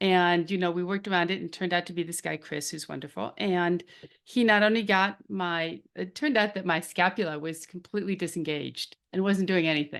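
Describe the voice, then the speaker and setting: A woman's fairly low voice, an ordinary speaking voice, at a fairly quick pace with hardly any pauses and ordinary pitch variation, over a quiet background. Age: 60s. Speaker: drug safety advocate. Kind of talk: interview.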